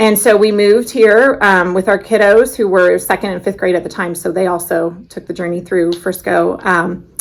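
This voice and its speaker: With an American accent, a woman of medium pitch speaks at a moderate pace with hardly any pauses. She has an ordinary speaking voice with fairly even intonation. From Illinois. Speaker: social studies coordinator. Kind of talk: casual interview.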